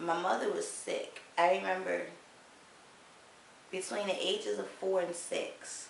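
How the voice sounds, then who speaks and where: A woman speaks at a fairly slow pace with long, frequent pauses, her voice carrying audible room echo over noticeable background noise. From Baltimore, with early childhood in Virginia. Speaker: video blogger. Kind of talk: personal testimony vlog.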